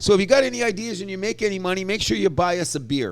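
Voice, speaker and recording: With an animated tone and lively intonation, a man speaks at a high pitch. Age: 60s. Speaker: sports podcast co-host. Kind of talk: casual chat.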